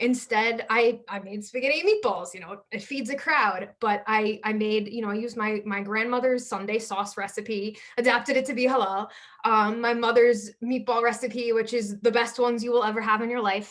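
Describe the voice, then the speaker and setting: With fairly even intonation and hardly any pauses, a woman speaks at a fairly high pitch. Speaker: launch event speaker. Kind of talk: personal story. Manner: fast.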